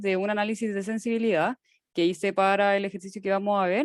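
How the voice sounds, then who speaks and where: A woman with an unremarkable speaking voice talks at a moderate pace and medium pitch against a quiet background. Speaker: teaching assistant. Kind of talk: lecture.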